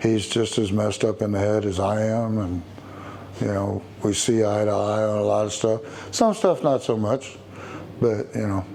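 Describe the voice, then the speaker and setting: A man with a Texan accent and a fairly low pitch, monotone, flat intonation, and a moderate pace, over noticeable background noise. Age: 60s. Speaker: biker. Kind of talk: interview. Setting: motorcycle shop. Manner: halting.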